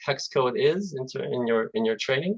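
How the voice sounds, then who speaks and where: Here a man talks with a Russian accent. His intonation is lively. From Azerbaijan. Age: 40s. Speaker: software development manager. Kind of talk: presentation. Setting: video call. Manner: halting.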